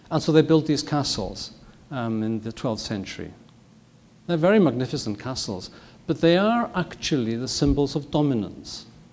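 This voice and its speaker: A man with a Welsh accent, fairly high in pitch, with lively intonation at a moderate pace on a very clean recording with a silent background. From north Wales. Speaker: physician and professor. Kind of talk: lecture. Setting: stage with audience.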